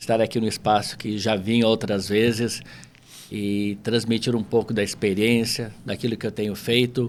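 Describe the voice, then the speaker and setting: A man of medium pitch speaks at a moderate pace in a flat monotone with a southern Brazilian accent. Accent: southern Brazilian (gaúcho). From Porto Alegre, southern Brazil. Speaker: entrepreneur, language school owner. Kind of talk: casual interview chat.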